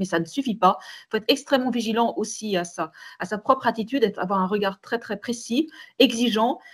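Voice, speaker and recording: The woman's voice is somewhat breathy. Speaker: manager and webinar panelist. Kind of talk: online webinar discussion. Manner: fast; hesitant, many repetitions.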